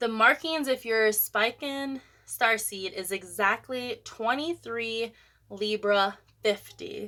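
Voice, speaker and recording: A woman's bright, sharp, fairly high voice at a very slow pace, with ordinary pitch variation, on a very clean recording with a silent background. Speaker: spiritual content creator. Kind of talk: casual tutorial monologue. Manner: halting over pronunciations.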